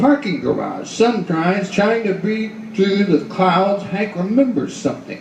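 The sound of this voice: Putting on a character voice, a man goes high in pitch with big pitch swings, vocal fry and a slightly mellow tone at a fairly slow pace, with faint background noise.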